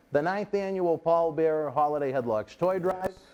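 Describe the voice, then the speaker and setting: A man's dark, mellow tone in a Boston accent, at a fairly quick pace. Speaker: wrestling interview host. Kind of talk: casual interview chat. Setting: studio.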